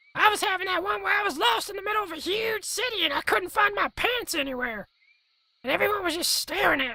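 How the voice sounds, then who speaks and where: A put-on character voice rattles along at a very fast pace and an extremely high pitch. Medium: short film. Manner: dopey, casual.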